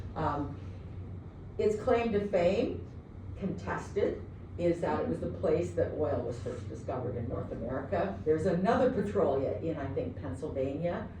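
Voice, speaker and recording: Speech comes at a moderate pace. Background noise is noticeable. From Canada, southwestern Ontario (London). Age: 60s. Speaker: professor. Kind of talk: lecture. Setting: classroom. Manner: casual, hesitant with fillers.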